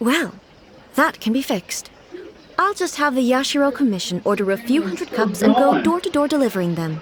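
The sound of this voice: This put-on character voice has big pitch swings and a slightly husky edge. Its pace is moderate. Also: woman, high pitch for a woman.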